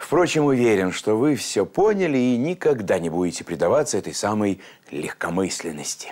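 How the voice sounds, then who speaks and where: At a moderate pace, a man talks with very wide swings in pitch, the background quiet. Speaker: TV program host. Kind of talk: closing address to viewers. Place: studio.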